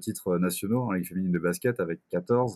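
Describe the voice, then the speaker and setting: A man speaks with a very deep, low pitch and a dark, mellow tone. The sound is dry and close, with no echo. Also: very clean recording, silent background. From Brittany, France. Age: 20s. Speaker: sports club communications officer. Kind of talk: casual interview.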